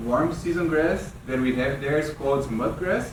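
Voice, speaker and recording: At a moderate pace, a speaker with a Brazilian Portuguese accent talks amid audible room echo and noticeable background noise. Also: man. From Brazil, São Paulo state. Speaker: weed scientist, extension specialist. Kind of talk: workshop lecture. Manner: halting, with repetitions.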